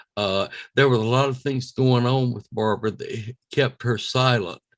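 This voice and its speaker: This is a man with an American accent. His medium-pitched voice has fairly even intonation. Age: 80s+. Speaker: alien abduction experiencer. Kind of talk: interview. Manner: halting.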